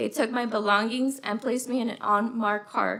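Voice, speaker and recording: Over noticeable background noise, a soft-spoken woman with an American accent and a fairly high pitch talks at a fairly quick pace with fairly even intonation. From Los Angeles, California. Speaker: witness at a hearing. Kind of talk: testimony.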